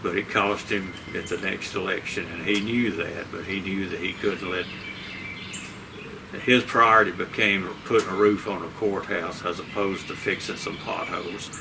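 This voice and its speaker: With a Southern US accent, a man talks at a moderate pace in a fairly low pitch and a monotone, flat delivery, over noticeable background noise and audible room echo. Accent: Southern US (Georgia). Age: 70s. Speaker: local political candidate. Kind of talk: interview.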